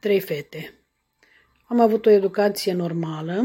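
Speaking at a fairly slow pace, a woman with a medium pitch and ordinary pitch variation has a somewhat breathy, dark, mellow tone. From Romania, Bacău county (Moldavia). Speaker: podcaster sharing her life story. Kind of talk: personal storytelling monologue. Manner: halting, with frequent filler sounds.

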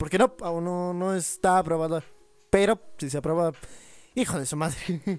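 A man's high-pitched voice at a fairly slow pace. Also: ordinary pitch variation. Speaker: podcast co-host. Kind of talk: casual chat.

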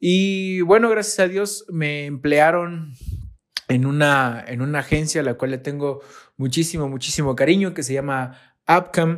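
This man has a plain, everyday voice, speaking at a fairly slow pace with ordinary pitch variation. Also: fairly high pitch for a man. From Mexico, Veracruz. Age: 30s. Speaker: graphic designer. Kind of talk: recorded monologue.

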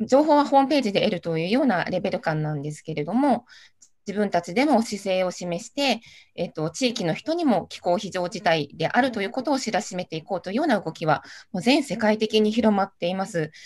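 A woman speaks at a fairly quick pace with a normal speaking voice, medium pitch and lively intonation. The recording is very clean, with a silent background. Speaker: city councillor. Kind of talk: panel discussion.

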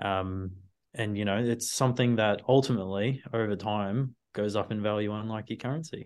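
The speaker has an Australian accent and a moderate pace. The background is quiet. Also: man, fairly low pitch for a man, fairly even intonation. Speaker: data analyst. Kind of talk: casual interview on finance.

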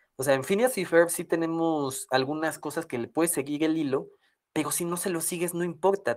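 The recording is very clean and the background silent. Words arrive at a moderate speed. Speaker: podcast co-host. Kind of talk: casual chat.

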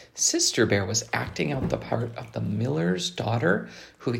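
Intonation here is lively. It comes from a natural reading voice.

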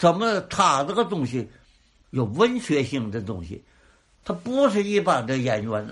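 A man talks at a fairly slow pace in a somewhat breathy, fairly high voice with very wide pitch swings. The background is quiet. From Tianjin. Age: old. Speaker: crosstalk comedian. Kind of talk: interview.

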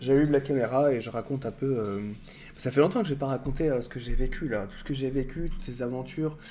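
Talking at a very fast pace, a man has a dark, mellow tone and a fairly high pitch. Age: 30s. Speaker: YouTuber and streamer. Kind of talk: casual livestream chat. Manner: hesitant with many fillers.

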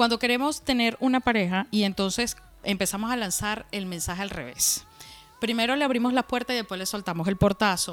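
A woman with a normal speaking voice talks at a fairly quick pace. Her pitch is fairly high, with ordinary pitch variation. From Venezuela, Valencia. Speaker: podcast co-host and tarot reader. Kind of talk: casual chat.

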